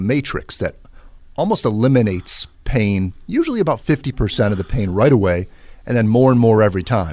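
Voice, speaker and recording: A man with a plain, everyday voice and fairly low pitch speaks at a fairly quick pace with ordinary pitch variation. The recording is very clean, with a silent background. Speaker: chiropractor. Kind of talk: radio interview. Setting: studio.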